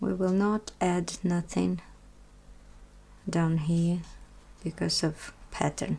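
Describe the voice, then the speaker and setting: A woman with a Russian accent, very slow pace, very even loudness, and long, frequent pauses. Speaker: knitting tutor. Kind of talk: tutorial. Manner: halting.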